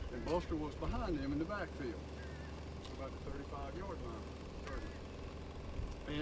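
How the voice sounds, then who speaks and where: A man with a Southern US accent talks at a moderate pace. Noticeable background noise and audible room echo fill the recording. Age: 70s. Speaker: retired public works director. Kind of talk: memorial speech.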